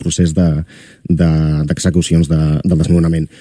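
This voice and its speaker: In a dry recording with no echo, a man speaks in a very deep, low voice with monotone, flat intonation. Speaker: radio presenter. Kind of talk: radio interview. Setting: studio. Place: studio.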